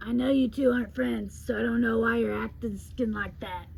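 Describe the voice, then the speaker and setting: A woman puts on a raspy, gravelly character voice. She speaks at a moderate pace over clear background noise. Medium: read story. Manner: talkative, smooth-talking.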